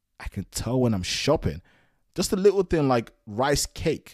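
On a very clean recording with a silent background, a man talks at a moderate pace in a dark, mellow, relaxed tone. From Nigeria, then UK from teens. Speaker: solo podcaster. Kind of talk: casual monologue. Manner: relaxed, with frequent fillers and repetitions.

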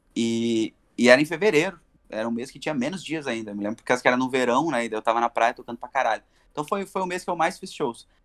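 Dry and close with no echo, a man's medium-pitched voice races at a very fast pace with lively intonation and big swings in loudness. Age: 30s. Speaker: bar musician. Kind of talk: casual chat.

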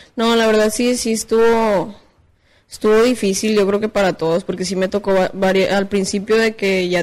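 This woman has an ordinary speaking voice at medium pitch. She speaks at a moderate pace with fairly even intonation. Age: 20s. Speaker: rapper. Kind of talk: casual chat.

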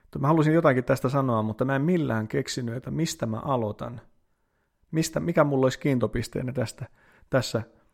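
Fairly quick and at medium pitch, a man with a normal speaking voice shows ordinary pitch variation in a very clean recording with a silent background. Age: 30s. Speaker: priest and podcaster. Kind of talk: casual solo podcast monologue.

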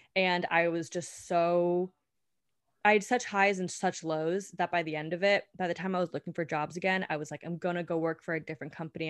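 A woman with an American accent talks in a normal speaking voice, fairly low in pitch, at a fairly quick pace with fairly even intonation, recorded dry and close with no echo against a quiet background. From California. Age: 20s. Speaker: beauty podcast co-host. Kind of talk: casual chat.

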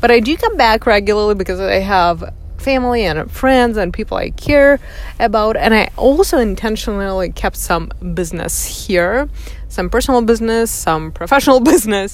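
A woman with a Russian accent speaks at a moderate pace in a fairly high voice, her intonation lively over noticeable background noise. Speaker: podcast host. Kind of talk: personal monologue. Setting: in a car. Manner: reflective, with frequent fillers.

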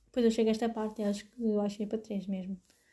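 A woman's somewhat breathy, dark and mellow voice, fairly high in pitch, at a very fast pace. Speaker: podcaster. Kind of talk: casual monologue. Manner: animated.

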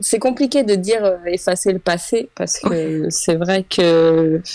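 A woman's medium-pitched, dark and mellow voice at a very slow pace, with long, frequent pauses, ordinary pitch variation and very even loudness. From Île-de-France, France. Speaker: creator of a social media project on women. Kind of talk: casual interview chat.

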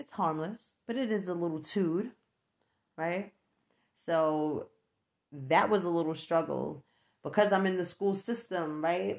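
A woman with a New York accent speaks at a fairly slow pace and a fairly low pitch, with ordinary pitch variation. Her long, frequent pauses stand out against a quiet background. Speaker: podcast host. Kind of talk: casual solo podcast monologue. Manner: chatty, laughs often.

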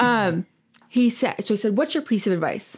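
An animated woman's voice in an American accent, moderate in pace with ordinary pitch variation. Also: very clean recording, silent background. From Michigan. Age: 20s. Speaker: business owner. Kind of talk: casual interview.

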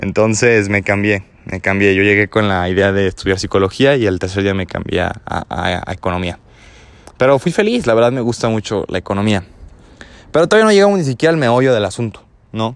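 A man speaks at a fairly quick pace with a Mexican accent. His pitch is fairly low, with ordinary variation. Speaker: podcaster. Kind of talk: personal monologue. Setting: outdoors.

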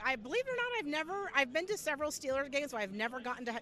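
A woman talking very fast, her pitch swinging very widely, with noticeable background noise. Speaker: Steelers fan. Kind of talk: casual chat. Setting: outdoors at a stadium tailgate.

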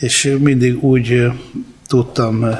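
Noticeable background noise sits behind a man's voice. He speaks at a medium pitch in a monotone, flat intonation. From Hungary, from age five (born in Apulia, Italy). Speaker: rock drummer. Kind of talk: interview storytelling.

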